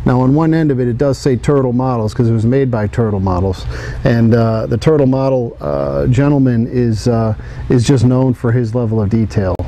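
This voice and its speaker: Medium-pitched man at a fairly quick pace with ordinary pitch variation, over noticeable background noise. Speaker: diecast model company president. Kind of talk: product showcase talk.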